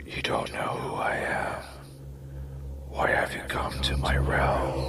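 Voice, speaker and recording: A man whispers in a put-on character voice at a fairly slow pace over loud background noise. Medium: solo performance. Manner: sinister, menacing.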